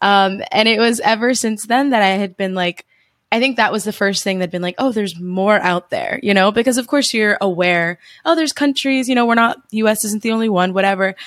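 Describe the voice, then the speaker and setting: Fairly high in pitch, a woman with a New Jersey accent speaks at a fairly quick pace on a very clean recording with a silent background. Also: ordinary pitch variation. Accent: New Jersey American. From US, New Jersey. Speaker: travel podcaster and digital nomad. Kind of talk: casual interview chat.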